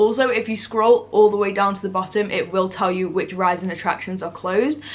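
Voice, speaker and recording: A woman in a British accent, medium-pitched with ordinary pitch variation, fairly quick, against noticeable background noise. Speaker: travel vlogger. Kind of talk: tutorial. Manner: fast; animated.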